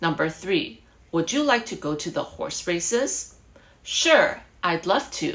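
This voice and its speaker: The speaker has a Chinese accent. The pace is very slow. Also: woman. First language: Mandarin Chinese. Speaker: English teacher. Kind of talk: online English lesson. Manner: code-switching English and Mandarin; energetic, hyperactive.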